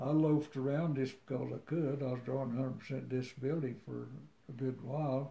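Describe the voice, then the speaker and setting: A man speaks in a dark, mellow tone that is somewhat breathy. His intonation stays monotone and flat. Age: 80s+. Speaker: war veteran. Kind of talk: interview answer.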